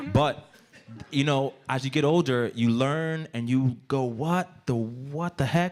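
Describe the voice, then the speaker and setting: A man speaks with an American accent in an unremarkable speaking voice. His pitch is fairly high with ordinary variation, and his pace is fairly slow. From Texas. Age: adult. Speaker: moderator. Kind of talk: panel discussion. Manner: casual.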